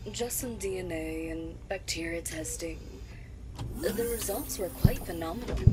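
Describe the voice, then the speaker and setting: Loud background noise sits under the clip. The speaker uses a put-on character voice at a moderate pace. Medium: audio drama.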